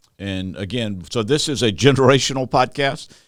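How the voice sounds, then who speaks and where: The recording is very clean, and the background is silent. A man speaks with a normal amount of pitch movement. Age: 60s. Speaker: podcast host, church consultant. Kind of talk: casual interview podcast. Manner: hesitant with fillers.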